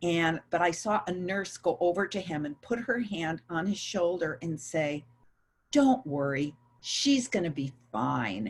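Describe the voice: Speaking at a fairly slow pace, a woman with a fairly low pitch and a slightly husky edge uses lively intonation.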